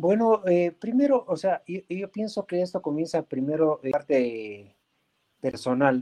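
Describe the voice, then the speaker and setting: A man's high-pitched, dark and mellow voice, fairly slow with very wide pitch swings, in a dry, close sound with no echo. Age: 60s. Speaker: vaping association president. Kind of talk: interview. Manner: halting.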